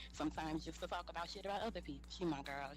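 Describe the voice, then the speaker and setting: A woman's very fast speech in a New Orleans accent, over music in the background. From New Orleans, Louisiana. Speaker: honoree at an online sorority roast. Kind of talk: thank-you speech. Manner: casual, sassy. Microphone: poor quality mic.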